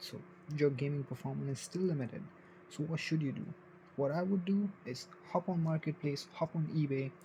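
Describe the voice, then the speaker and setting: The man's pace is moderate. He has a non-native accent. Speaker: tech reviewer. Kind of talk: casual tech review. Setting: home bedroom, at night. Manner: informal, slightly halting.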